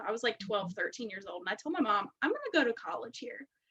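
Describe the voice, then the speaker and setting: A woman with a slight West Virginia accent speaks at a very fast pace. Her pitch is fairly high and her intonation lively. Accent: slight West Virginia twang. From West Virginia, US. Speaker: direct sales director. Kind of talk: interview. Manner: casual, filler-heavy.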